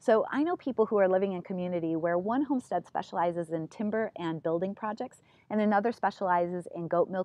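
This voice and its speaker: At a very fast pace with hardly any pauses, a woman speaks at a medium pitch with ordinary pitch variation. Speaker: gardening educator. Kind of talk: video monologue. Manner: animated.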